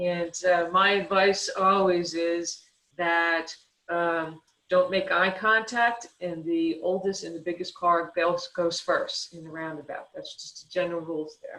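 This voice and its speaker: The speaker has a New Jersey accent. The pace is fairly slow. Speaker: federal transportation research official. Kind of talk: conference keynote presentation. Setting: online conference. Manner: many fillers, halting.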